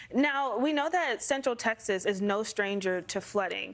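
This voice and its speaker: Here a woman has a normal speaking voice, fairly high in pitch with ordinary variation, at a moderate pace. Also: very clean recording, silent background. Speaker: TV meteorologist. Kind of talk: TV news interview.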